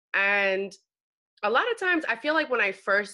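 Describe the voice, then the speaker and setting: Her tone bright and sharp, a woman speaks at a moderate pace with lively intonation. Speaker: podcast host. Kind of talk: podcast interview intro.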